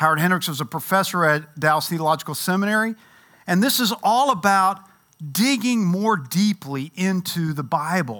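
A man with a high pitch and a bright, sharp tone speaks at a moderate pace with lively intonation and an animated tone in a very clean recording with a silent background. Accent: Kentucky. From Louisville, Kentucky. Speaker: Bible teacher. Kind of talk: Bible class lecture.

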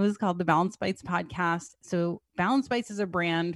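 In an American accent, a woman speaks at a moderate pace and a fairly low pitch with ordinary variation, in a very clean, silent recording with a dry, close sound and no echo. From New Jersey. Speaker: chef and business owner. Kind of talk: casual chat.

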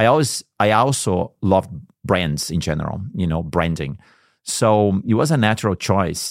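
A man with a Portuguese accent and a fairly low pitch speaks at a moderate pace with lively intonation. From Brazil, São Paulo. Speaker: advertising agency co-founder. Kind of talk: interview.

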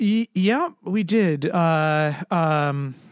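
On a very clean recording with a silent background, a man with an American accent speaks in a fairly high pitch with ordinary pitch variation. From US Northeast, Connecticut. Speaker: entrepreneur and executive coach. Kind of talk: interview conversation. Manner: halting, many fillers and restarts.

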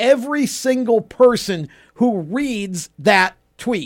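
Pitched high, a man talks at a very slow pace with lively intonation. The recording is very clean, with a silent background. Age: 50s. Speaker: motorsports radio host. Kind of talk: reading aloud; casual chat. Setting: studio.

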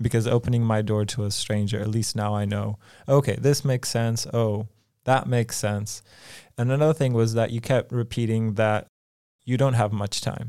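An unremarkable speaking voice talks at a moderate pace with fairly even intonation. The recording is very clean, with a silent background. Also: man, medium pitch for a man. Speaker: podcast co-host. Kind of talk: podcast interview. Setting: studio.

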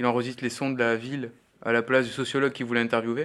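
A man with a medium pitch keeps his intonation fairly even while talking at a fairly quick pace. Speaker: sound workshop trainer, radio producer. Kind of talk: workshop instruction. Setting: recording studio workshop. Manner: loud.

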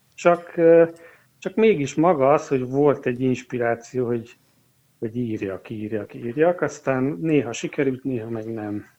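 At a fairly slow pace, a man with an unremarkable speaking voice talks at a medium pitch with ordinary variation. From eastern Hungary. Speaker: organist and music teacher. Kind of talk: interview.

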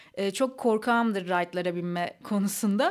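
Speaking in a normal speaking voice, a woman keeps a moderate pace and a medium pitch with ordinary pitch variation. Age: 30s. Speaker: podcast host. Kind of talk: casual chat.

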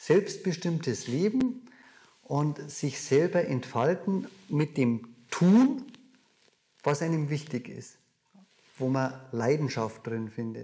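A man with a Bavarian accent talks at a very slow pace, leaving long, frequent pauses. His voice is fairly high, somewhat breathy and dark and mellow in tone, with lively intonation. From Bavaria, near Munich. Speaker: dividend investor and seminar speaker. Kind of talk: interview conversation.

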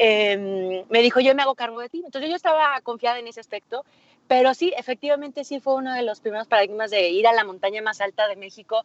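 Talking at a very fast pace in a Mexican accent, a woman uses a fairly high voice with ordinary pitch variation and big swings in loudness. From Mexico, Aguascalientes. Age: 30s. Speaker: mountaineer and business coach. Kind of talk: interview.

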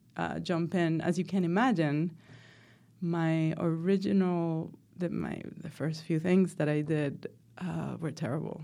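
With a Spanish accent, a woman speaks at a fairly slow pace in a dark, mellow tone, her fairly low pitch moving in fairly even intonation over a very clean recording with a silent background. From Venezuela (Caracas), moved to the US at sixteen. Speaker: professor and filmmaker. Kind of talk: interview. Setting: studio.

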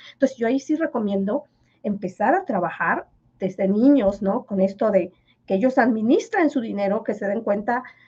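A woman speaks with a fairly high pitch and ordinary pitch variation. Her voice is somewhat breathy. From Yucatán, Mexico (Maya village). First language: Yucatec Maya (speaking Spanish). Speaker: finance professor. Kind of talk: interview.

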